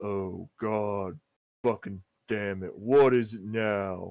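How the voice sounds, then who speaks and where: A man puts on a character voice, rumbling and fairly low in pitch. He speaks at a very slow pace. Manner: irritated, annoyed.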